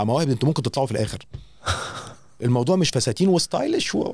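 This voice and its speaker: A man speaks in a fairly high, somewhat breathy voice. His tone is dark and mellow, his intonation lively. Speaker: radio host. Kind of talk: casual chat.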